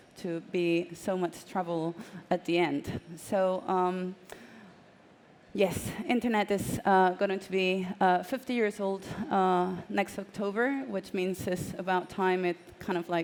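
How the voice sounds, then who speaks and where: A woman at medium pitch, very slow in pace, with fairly even intonation. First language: Spanish. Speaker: journalist and author. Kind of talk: panel talk. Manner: halting.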